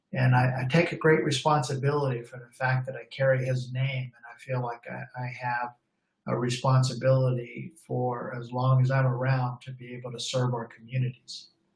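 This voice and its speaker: A man speaks at a moderate pace in a monotone, flat intonation and sounds somewhat breathy. His loudness swings widely. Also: medium pitch for a man. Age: 60s. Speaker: law enforcement trainer. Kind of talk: webinar presentation. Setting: online webinar. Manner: halting, with fillers.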